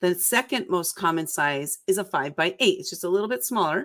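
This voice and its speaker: A woman with an ordinary speaking voice, medium pitch and lively intonation. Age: 60s. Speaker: book publisher and author. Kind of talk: live-stream interview. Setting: live online video stream.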